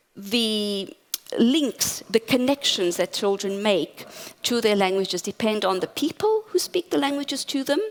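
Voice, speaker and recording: Against noticeable background noise, a woman with a fairly high pitch speaks at a fairly slow pace with lively intonation. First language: Portuguese. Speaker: academic conference speaker. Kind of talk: conference talk.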